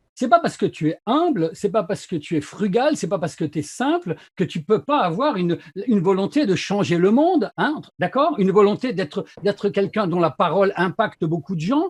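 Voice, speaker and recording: Over a quiet background, a high-pitched man talks at a moderate pace with lively intonation, his sound dry and close with no echo. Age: 60s. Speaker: sales consultant and YouTuber. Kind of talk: casual interview chat. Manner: animated.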